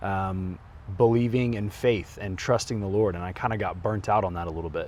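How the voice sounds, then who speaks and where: A man's fairly low voice shows ordinary pitch variation as he goes at a moderate pace. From Oklahoma, Tulsa. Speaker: real estate investor and wellness retreat founder. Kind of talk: personal testimony in promo video.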